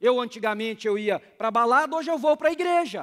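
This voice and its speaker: A man against a quiet background. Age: 40s. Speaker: pastor. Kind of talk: sermon.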